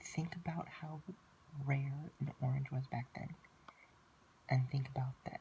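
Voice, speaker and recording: A man talks in a fairly high pitch that is somewhat breathy. His intonation stays monotone and flat. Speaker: student. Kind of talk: class presentation narration.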